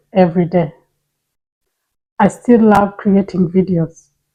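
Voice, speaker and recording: With a non-native accent, this woman's voice sits at a medium pitch and has a dark, mellow tone. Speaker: personal finance YouTuber. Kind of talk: personal testimony to camera.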